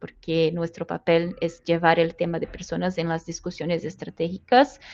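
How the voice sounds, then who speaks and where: Speaking with a Brazilian accent, a woman uses a fairly low pitch over a quiet background. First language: Portuguese (speaking Spanish). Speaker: people analytics professional. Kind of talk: interview. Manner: halting, non-native phrasing.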